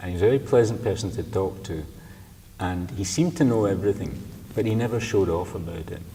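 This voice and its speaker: Speaking at a very fast pace, a man uses a fairly low pitch with ordinary pitch variation. Audible room echo surrounds his voice. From Scotland, Glasgow. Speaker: poet. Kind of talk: interview. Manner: halting.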